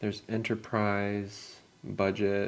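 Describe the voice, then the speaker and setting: A man in an American accent speaks in a fairly low pitch with monotone, flat intonation. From California. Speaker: English teacher. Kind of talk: scripted dialogue for learners. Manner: casual.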